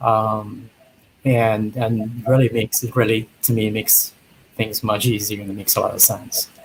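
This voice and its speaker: At a moderate pace, a man talks in a somewhat breathy voice of medium pitch, flat and monotone throughout. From Trinidad. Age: 50s. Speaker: dating show bachelor. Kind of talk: interview.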